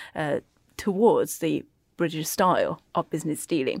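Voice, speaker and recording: Fairly low pitch from a woman, very clean recording, completely silent background. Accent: Chinese. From China, moved to UK at 14. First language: Chinese. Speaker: accounting firm China desk head. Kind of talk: panel discussion.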